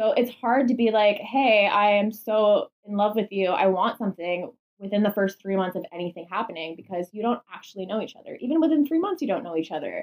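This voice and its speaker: Quick-paced and lively in intonation, a woman with a Canadian accent and an unremarkable speaking voice talks at a fairly high pitch. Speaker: podcast host. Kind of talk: casual chat. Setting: at home, in bedroom.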